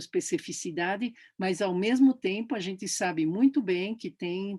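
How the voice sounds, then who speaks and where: A woman of medium pitch talks at a fairly slow pace. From Brazil, São Paulo. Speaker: professor. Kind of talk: interview. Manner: halting.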